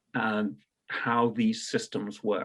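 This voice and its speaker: A man talks in a British accent. His intonation is lively. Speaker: payments industry entrepreneur. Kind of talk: radio interview.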